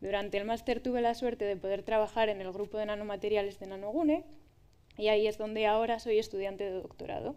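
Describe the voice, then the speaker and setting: Speaking very fast, a woman uses a fairly high voice with a dark, mellow tone and fairly even intonation. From Spain, Valladolid; Spain. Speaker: doctoral researcher in materials science; speaker. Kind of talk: public talk. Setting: stage with audience. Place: stage.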